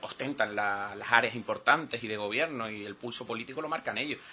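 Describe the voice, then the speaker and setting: Noticeable background noise accompanies a man speaking at a fairly quick pace with ordinary pitch variation. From Canary Islands, Telde (Gran Canaria). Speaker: island councillor, opposition politician. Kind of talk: political talk radio interview.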